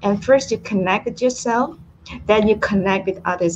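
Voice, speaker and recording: A woman's medium-pitched voice with ordinary pitch variation and noticeable background noise. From Malaysia. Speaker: author and business coach. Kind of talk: interview.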